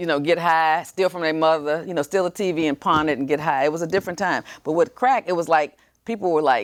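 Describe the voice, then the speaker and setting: A woman with a Texan accent talks at a very fast pace in a fairly low pitch, with ordinary pitch variation, hardly any pauses and a dry, close sound with no echo. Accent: Texan American English. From Texas, San Antonio. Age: 60s. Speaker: TV show host and lawyer. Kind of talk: interview talk show.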